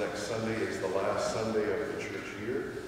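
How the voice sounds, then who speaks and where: Amid strong room echo and light background noise, a man speaks at a moderate pace and a fairly low pitch. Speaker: priest. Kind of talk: sermon. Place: church. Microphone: podium.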